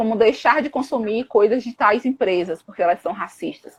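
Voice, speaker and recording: At a fairly quick pace, a woman talks in an animated tone with a fairly high pitch and ordinary pitch variation. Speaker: psychologist and anti-racism activist. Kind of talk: live stream discussion. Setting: online live stream. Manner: fast.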